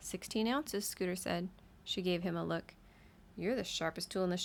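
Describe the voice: Someone gives a plain reading aloud with ordinary pitch variation.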